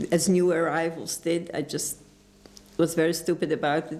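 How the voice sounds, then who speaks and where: At a moderate pace, a woman speaks with a fairly low pitch, vocal fry and a monotone, flat intonation. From Poland, Lodz. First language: Polish. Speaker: Holocaust survivor. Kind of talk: oral history interview. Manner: halting.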